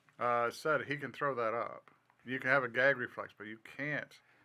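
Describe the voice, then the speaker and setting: Bright, sharp tone from a man at a moderate pace. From southern Florida. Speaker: podcast co-host. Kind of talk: casual chat.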